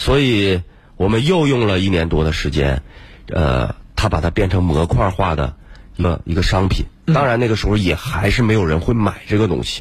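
Over noticeable background noise, a man with a very deep, low pitch swings his pitch very widely while keeping his loudness very even. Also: moderate pace. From Harbin, northeast China. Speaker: tech company founder. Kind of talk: radio interview. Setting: radio studio.

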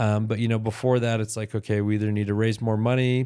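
Very fast and monotone, a man speaks flatly at a medium pitch in a dark, mellow tone. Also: very clean recording, silent background. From Utah. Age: 30s. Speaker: entrepreneur. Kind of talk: casual interview.

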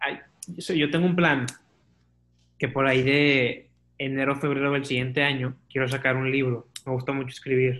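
Using monotone, flat intonation, a man with a fairly high pitch speaks at a moderate pace. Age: 20s. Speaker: podcaster and marketing student. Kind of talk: casual chat.

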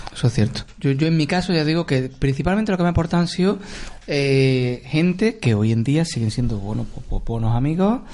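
Intonation is lively and the pace fairly quick, with very even loudness. There is noticeable background noise. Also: man, fairly high pitch for a man. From Córdoba, Andalusia. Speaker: podcast co-host. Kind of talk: casual chat.

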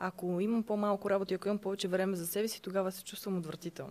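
Her voice is medium-pitched and monotone, a woman speaking with flat intonation. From Bulgaria, Sofia. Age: 20s. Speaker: online shop owner. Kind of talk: interview.

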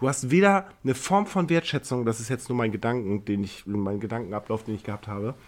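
In a normal speaking voice, a man talks at a fairly quick pace and medium pitch, with lively intonation and hardly any pauses. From Neumünster, northern Germany. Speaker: podcast co-host, tattoo artist. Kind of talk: casual chat.

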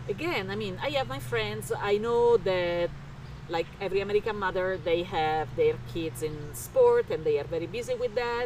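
The pace holds moderate. An Italian accent colors the speech. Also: woman. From Italy, Rome. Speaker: interior remodeler. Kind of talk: casual interview chat.

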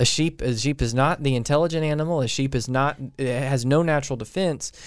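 With an ordinary speaking voice, a man talks at a fairly quick pace in a fairly high pitch, showing ordinary pitch variation. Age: 30s. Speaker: pastor. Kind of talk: casual chat.

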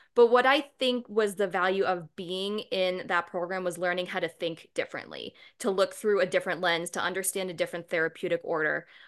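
A woman's normal speaking voice at medium pitch, with an American accent, fairly quick and hardly pausing, ordinary pitch variation, quiet background. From Boston, Massachusetts. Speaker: naturopathic doctor and acupuncturist. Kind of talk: interview.

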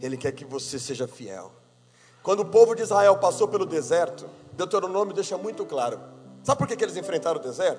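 A man speaks at a very fast pace with a high pitch. His voice makes very wide pitch swings and big swings in loudness. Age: 30s. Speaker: pastor. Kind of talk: sermon. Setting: church.

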